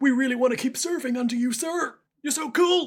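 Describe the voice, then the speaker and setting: This is a put-on character voice pitched high. It moves along at a fairly quick pace. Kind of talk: generic soldier voice. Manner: admiring, earnest.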